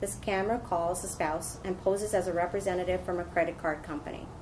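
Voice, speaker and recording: The woman's speech runs fairly quickly, with clearly noticeable noise in the background. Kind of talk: prepared statement at press conference. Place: meeting room.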